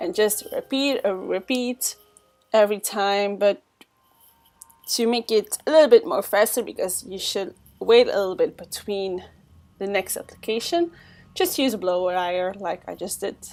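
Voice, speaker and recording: A woman with a non-native accent speaks with ordinary pitch variation. She leaves long, frequent pauses, and music plays in the background. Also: medium pitch for a woman, moderate pace, big swings in loudness. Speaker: makeup artist. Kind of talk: makeup tutorial voiceover.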